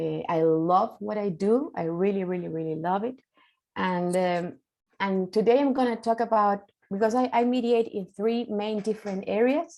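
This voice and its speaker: Speaking with a Spanish accent at a moderate pace, a woman has a dark, mellow tone. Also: medium pitch for a woman, ordinary pitch variation. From Chile. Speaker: mediator, keynote speaker. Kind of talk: conference keynote talk. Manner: halting, many fillers.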